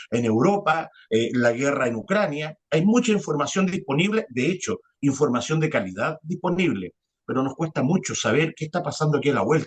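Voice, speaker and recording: This man's fairly high voice is somewhat breathy and moves at a moderate pace. His pitch swings very widely. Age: 40s. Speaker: journalist. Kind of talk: interview conversation. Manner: hesitant, many fillers.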